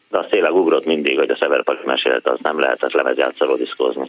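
This man talks at a fairly quick pace. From Hungary, Szentes. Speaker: former DJ and pantomime performer. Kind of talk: phone-in chat.

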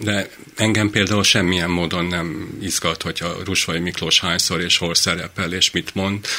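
A man talks at a moderate pace with a very deep, low pitch. His intonation is flat and monotone. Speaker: physician. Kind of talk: casual chat. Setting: studio.

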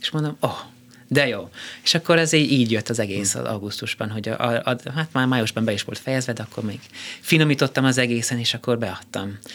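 Someone with a slight non-native accent talks at a very fast pace with ordinary pitch variation. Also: man, medium pitch for a man. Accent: slight foreign accent in Hungarian. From Austria (Vienna) and US. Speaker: conductor and composer. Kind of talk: casual interview. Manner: halting.

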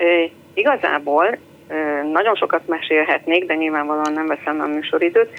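A woman's voice at a moderate pace, with noticeable background noise. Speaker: caller, mother. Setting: phone call.

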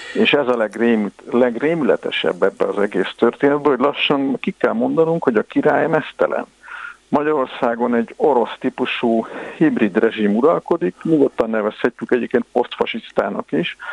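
With noticeable background noise but a dry, close sound and no echo, a man at medium pitch keeps very even loudness and lively intonation. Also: moderate pace. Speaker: historian. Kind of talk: radio interview.

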